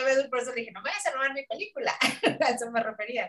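A woman speaks at a high pitch with a Mexican accent. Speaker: film critic panelist. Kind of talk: casual chat.

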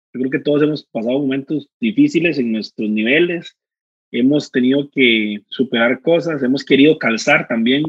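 With a Costa Rican accent, a man speaks at a moderate pace in a fairly high pitch with ordinary pitch variation. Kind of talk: casual chat.

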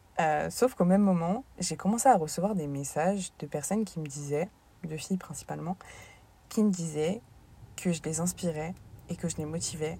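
Her somewhat breathy voice has a dark, mellow tone and fairly low pitch, and this woman talks at a moderate pace with ordinary pitch variation and long, frequent pauses. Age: 20s. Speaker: sports coach and podcaster. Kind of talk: casual monologue.

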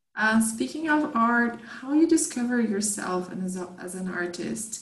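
A woman speaks with a Portuguese accent at a fairly slow pace. Room echo is audible. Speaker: podcast host. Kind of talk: interview.

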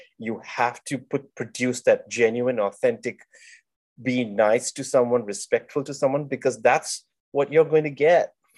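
A man speaks at a fairly slow pace with ordinary pitch variation, in a plain, everyday voice. The background is quiet. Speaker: podcast host. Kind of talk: casual interview chat.

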